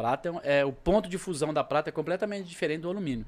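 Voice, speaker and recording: A man races along at a very fast pace with lively intonation. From Brazil, Minas Gerais (Triângulo Mineiro). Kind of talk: casual chat.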